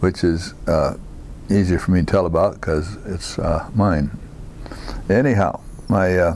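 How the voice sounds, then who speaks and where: With an American accent, a man speaks in a very deep, low pitch at a fairly slow pace. His intonation is fairly even, over noticeable background noise. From US Midwest, Iowa. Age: 80s+. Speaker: war veteran. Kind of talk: oral history interview. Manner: halting, many fillers.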